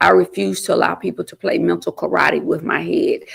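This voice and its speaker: A woman speaks with an Alabama accent. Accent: US South (Alabama). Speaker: state legislator and mayoral candidate. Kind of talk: interview. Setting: studio. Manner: not loud.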